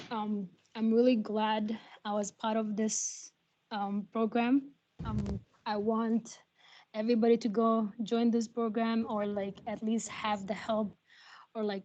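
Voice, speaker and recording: Her voice is fairly high in pitch, with a dark, mellow tone and an Arabic accent. The woman talks at a fairly slow pace in a monotone, flat intonation, with long, frequent pauses. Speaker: nursing student and patient care assistant. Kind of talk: testimony at a roundtable. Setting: video call. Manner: halting, many fillers.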